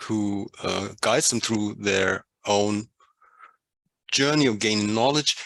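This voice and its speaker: With a non-native accent, a man speaks at a very slow pace in a medium pitch with ordinary pitch variation, the sound dry and close with no echo. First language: not English. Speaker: workshop participant. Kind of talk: group discussion presentation. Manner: halting.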